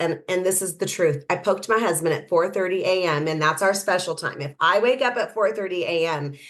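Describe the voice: Speaking at a fairly quick pace, a woman has a fairly low pitch and ordinary pitch variation.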